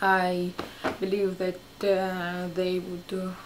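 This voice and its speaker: Light noise sits in the background. The speaker has a non-native accent. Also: woman. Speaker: fashion vlogger. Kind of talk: casual haul video talk to camera. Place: home room. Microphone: camera far.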